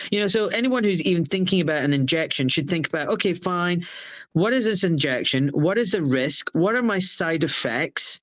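A man with a Glaswegian accent speaks in a high voice, his intonation lively and his loudness very even. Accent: Glaswegian Scottish. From Scotland, Glasgow. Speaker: surgeon. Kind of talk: interview.

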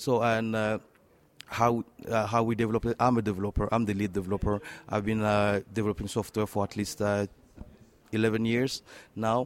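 In a French accent, a man with a fairly low pitch talks at a fairly quick pace in a monotone, flat intonation, leaving long, frequent pauses, the sound dry and close with no echo. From Democratic Republic of the Congo. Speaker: tech entrepreneur and software developer. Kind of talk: interview. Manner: halting, hesitant with many fillers.

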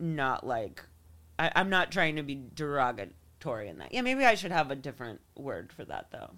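A woman's very deep, low-pitched voice with an American accent, vocal fry and a bright, sharp tone, at a moderate pace with very wide pitch swings and big swings in loudness. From New York. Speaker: comedian and musician. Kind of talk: casual chat.

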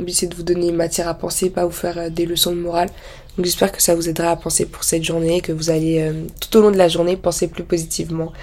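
A woman's fairly low voice at a very fast pace, amid noticeable background noise. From France. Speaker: podcaster. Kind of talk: casual monologue. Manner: animated.

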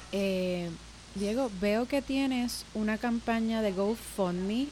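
This woman's voice sits fairly high, with lively intonation and a dark, mellow tone that is somewhat breathy. Her loudness stays very even throughout. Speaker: podcast host. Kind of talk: interview.

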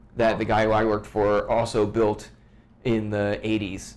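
Audible room echo surrounds a man with an American accent who speaks at a fairly quick pace and a fairly low pitch. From US, Washington DC suburbs. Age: 30s. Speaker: musician and photographer. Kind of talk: casual chat.

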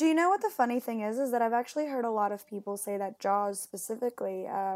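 Talking at a fairly quick pace, a woman with an American accent uses ordinary pitch variation. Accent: American-sounding English. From Puerto Rico and Mexico. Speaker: marine biologist and PhD student. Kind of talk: casual interview chat.

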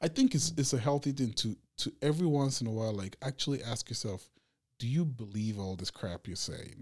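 His intonation is lively. The man's voice is somewhat breathy. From Nigeria, Abuja. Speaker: local shop owner. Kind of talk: casual interview.

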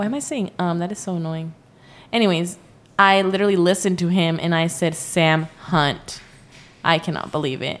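Here is a woman with an American accent and a plain, everyday voice. She speaks at a moderate pace with ordinary pitch variation. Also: fairly low pitch for a woman. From US, Mexican American. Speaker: podcast co-host. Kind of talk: casual chat. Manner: playful, teasing.

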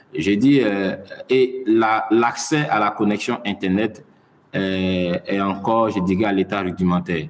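A man at a fairly low pitch and very slow pace, with ordinary pitch variation and noticeable background noise. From Mali. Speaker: science journalist. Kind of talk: interview. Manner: halting.

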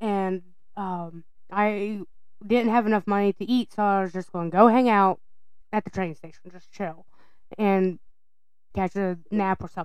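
A woman speaks with a Southern US accent at medium pitch and a moderate pace. Her intonation is fairly even, with long, frequent pauses. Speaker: podcast co-host.

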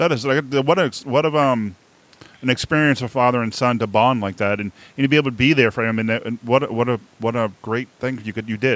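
Delivered at a fairly quick pace, the speech shows ordinary pitch variation. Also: man, medium pitch for a man. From Boston area, US. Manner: halting, conversational.

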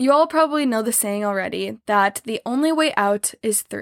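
With an American accent, this woman uses an ordinary speaking voice, fairly high in pitch, with lively intonation at a moderate pace, in a dry, close sound with no echo. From US Midwest, small-town Missouri. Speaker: podcast host, trauma survivor. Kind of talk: solo podcast monologue, partly scripted.

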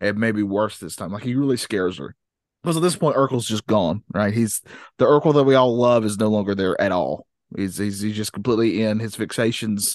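A man speaks in a normal speaking voice at a fairly quick pace, his pitch fairly low. Pitch variation is ordinary, and the background is quiet. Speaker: podcast host. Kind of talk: casual chat.

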